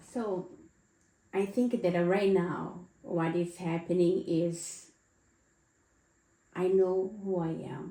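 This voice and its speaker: A woman's medium-pitched voice at a very slow pace, with fairly even intonation and long, frequent pauses. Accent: non-native. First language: not English. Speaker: podcast co-host. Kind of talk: casual chat.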